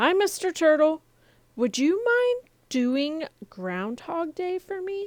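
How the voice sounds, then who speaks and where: A woman uses a put-on character voice, squeaky and extremely high, with very wide pitch swings. She goes at a fairly slow pace, and the sound is dry and close with no echo. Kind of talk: bedtime story. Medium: read story.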